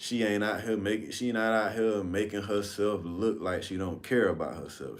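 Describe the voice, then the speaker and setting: A man speaks at a fairly slow pace in a fairly low voice, with ordinary pitch variation and audible room echo. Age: 30s. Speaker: livestream host. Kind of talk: casual storytelling livestream. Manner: casual, conversational.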